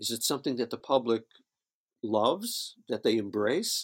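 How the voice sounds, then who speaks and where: With an American accent, the speaker's pitch rises and falls by an ordinary amount. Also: man. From upstate New York (Syracuse). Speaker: studio engineer. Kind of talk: interview.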